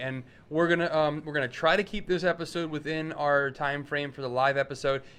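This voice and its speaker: This is a normal speaking voice. The pace is moderate. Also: man. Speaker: podcast host. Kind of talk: casual chat. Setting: live show.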